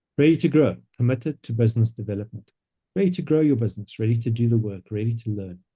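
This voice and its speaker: Very fast and somewhat breathy, a man speaks with a dark, mellow tone, medium pitch and lively intonation. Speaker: business coach presenting a coaching platform. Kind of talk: online presentation.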